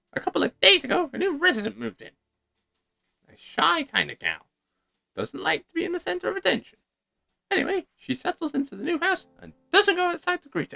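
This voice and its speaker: A put-on character voice, high-pitched and fairly quick, with long, frequent pauses and music in the background. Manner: voice-acted narration with an assigned character voice.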